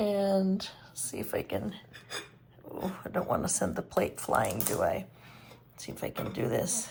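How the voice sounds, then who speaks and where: A woman whispers at a fairly slow pace, with long, frequent pauses. Noticeable background noise runs underneath. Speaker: home baker, cooking channel host. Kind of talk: cooking tutorial. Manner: casual, chatty; whispering at one point.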